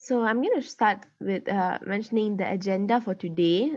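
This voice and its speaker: At a moderate pace and medium pitch, a woman talks with ordinary pitch variation in an unremarkable speaking voice. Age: 19. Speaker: workshop facilitator, law student. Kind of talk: online workshop presentation.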